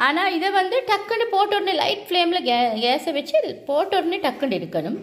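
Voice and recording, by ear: A woman's extremely high pitch with lively intonation at a fairly quick pace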